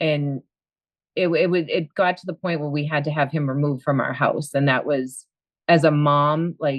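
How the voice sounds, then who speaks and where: Speaking at a moderate pace, a woman with a Boston accent has a very deep, low pitch. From Boston area, US. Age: 50s. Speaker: coaching client, school aide and bartender. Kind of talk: interview. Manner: lively.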